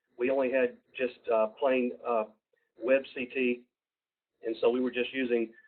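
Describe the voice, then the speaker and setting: In a Southern US accent, a man talks at medium pitch. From US South, Georgia. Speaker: university program presenter. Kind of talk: webinar presentation. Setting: online webinar. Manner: halting, many fillers.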